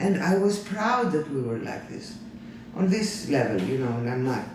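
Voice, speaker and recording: A fairly quick delivery with very wide pitch swings, audible room echo and noticeable background noise. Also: man. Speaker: former hospital worker. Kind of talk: interview.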